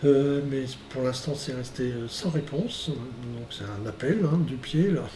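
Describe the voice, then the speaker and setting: Amid noticeable background noise and audible room echo, a man speaks at a very slow pace with a fairly high pitch and ordinary pitch variation. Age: 60s. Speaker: organic fruit farmer. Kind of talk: testimony. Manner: halting, many hesitations.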